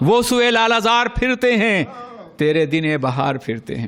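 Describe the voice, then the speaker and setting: Over noticeable background noise, a man speaks in a passionate tone with lively intonation. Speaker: Islamic scholar giving a religious sermon. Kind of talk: religious sermon (bayan) to an audience. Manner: passionate, oratorical, emphatic.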